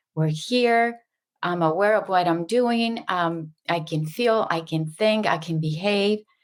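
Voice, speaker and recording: On a very clean recording with a silent background, a woman speaks at a very slow pace, her medium pitch showing ordinary pitch variation. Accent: Spanish. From Mexico. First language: Spanish. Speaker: subconscious mind facilitator. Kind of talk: interview.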